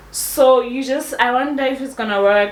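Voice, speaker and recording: In a room with audible echo and noticeable background noise, a woman speaks at a fairly slow pace. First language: not English. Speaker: fashion YouTuber. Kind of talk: tutorial. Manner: casual, chatty.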